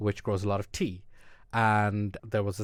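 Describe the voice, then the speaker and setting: A man with an Irish accent talks at a moderate pace in a fairly low pitch. The recording is very clean, with a silent background. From Ireland. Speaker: immunologist, podcast co-host. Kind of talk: casual chat. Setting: studio.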